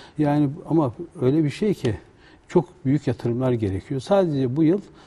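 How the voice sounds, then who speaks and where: Speaking at a fairly slow pace, a man uses lively intonation in a dark, mellow tone that is somewhat breathy. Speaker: guest. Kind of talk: interview answer. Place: studio. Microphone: lapel.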